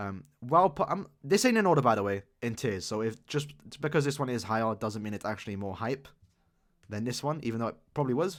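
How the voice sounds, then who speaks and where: A man's medium-pitched voice moves at a fairly quick pace with lively intonation. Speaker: gaming YouTuber. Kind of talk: casual commentary tier list. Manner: fast; animated.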